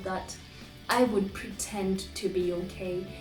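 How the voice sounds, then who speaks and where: Over music in the background, a woman talks at a medium pitch with fairly even intonation. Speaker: poet. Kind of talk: personal reflection to camera.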